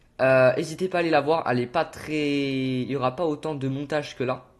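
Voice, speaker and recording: This man's voice sits fairly high in pitch. His tone is animated. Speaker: gaming youtuber. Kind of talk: tutorial. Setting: on camera with game footage. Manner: fast.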